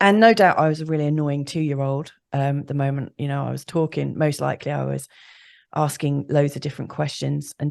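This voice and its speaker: Over a quiet background, a woman with a British accent and a very deep, low pitch speaks at a fairly quick pace. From UK. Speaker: astrologer. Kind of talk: interview.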